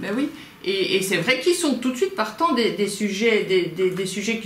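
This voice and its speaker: A woman speaks with lively intonation. The room echo is audible, and light background noise is present. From Belgium. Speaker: crime novelist and small publisher. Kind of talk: interview. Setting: at her home. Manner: halting. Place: home room. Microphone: camera far.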